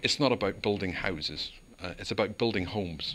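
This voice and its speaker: The speech comes at a fairly quick pace in a Northern Irish accent, with a bright, sharp tone and ordinary pitch variation. The recording is very clean, with a silent background. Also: man. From Northern Ireland, Belfast. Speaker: local councillor. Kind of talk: interview.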